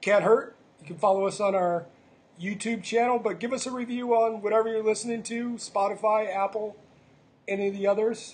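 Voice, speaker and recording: A high-pitched male voice at a fairly quick pace with fairly even intonation. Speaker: podcast host. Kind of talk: casual chat. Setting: smoke shop. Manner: jokey.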